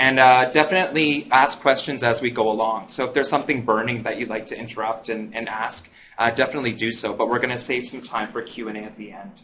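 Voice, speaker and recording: Rushing at a very fast pace with hardly any pauses, a man at a medium pitch keeps fairly even intonation while his loudness swings widely. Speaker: digital media expert, app business speaker. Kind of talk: presentation to live audience.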